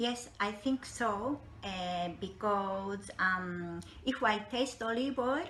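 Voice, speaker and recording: Amid noticeable background noise and audible room echo, a woman with a Japanese accent speaks very slowly at a medium pitch, with ordinary pitch variation and very even loudness. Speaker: olive oil interpreter and broker. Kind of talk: interview. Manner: halting.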